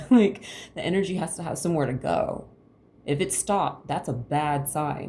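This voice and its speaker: A woman speaks at a very deep, low pitch with a dark, mellow tone that is somewhat breathy. Her intonation is lively. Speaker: tarot reader. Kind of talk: tarot reading to camera. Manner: fast.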